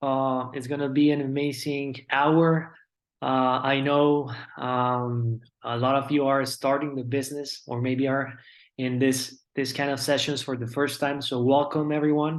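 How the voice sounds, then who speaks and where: This man speaks at a fairly slow pace in a fairly high pitch. His intonation is monotone and flat. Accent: Colombian. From Colombia. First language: Spanish. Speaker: network marketing business speaker. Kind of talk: motivational presentation.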